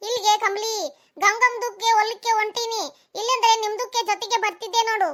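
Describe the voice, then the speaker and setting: Using a cartoonish character voice, a woman talks at a fairly slow pace in an extremely high pitch with monotone, flat intonation. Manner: easygoing, chatty.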